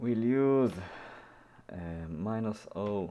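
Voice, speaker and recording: A man speaks in an Israeli accent. His tone is dark and mellow, with lively intonation. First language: Hebrew. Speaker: programming YouTuber. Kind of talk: tutorial. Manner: halting, many fillers.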